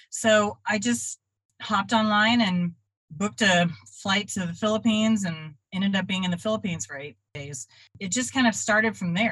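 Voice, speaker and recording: Speaking with an American accent at a moderate pace, a woman uses lively intonation in an unremarkable speaking voice. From Texas (Dallas-Fort Worth). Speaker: artist and traveling art teacher. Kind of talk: interview.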